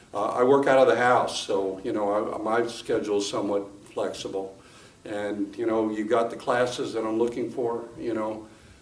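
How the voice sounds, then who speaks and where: Amid noticeable background noise and audible room echo, a man with a medium pitch talks at a moderate pace in a monotone, flat intonation. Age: 60s. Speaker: gym member giving testimonial. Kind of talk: testimony. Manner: halting, many fillers.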